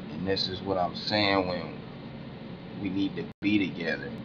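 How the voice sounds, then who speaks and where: Audible room echo follows a man with a very deep, low voice and fairly even intonation. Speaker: conspiracy-minded video blogger. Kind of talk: casual monologue vlog. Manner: slow, deliberate; halting, with fillers and restarts.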